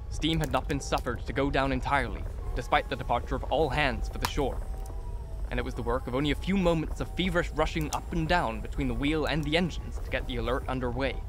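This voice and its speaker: A man talks at a very fast pace in a dry sound with no echo, with clear music in the background. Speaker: audiobook narrator. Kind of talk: scripted narration, reading aloud a horror story. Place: home room. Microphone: studio mic.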